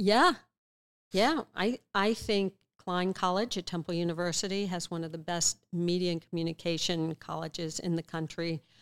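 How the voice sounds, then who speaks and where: At a moderate pace, a woman with a plain, everyday voice talks at a fairly low pitch with fairly even intonation. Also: dry, close sound with no echo. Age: 60s. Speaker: author and former investigative reporter, speaker. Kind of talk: interview conversation.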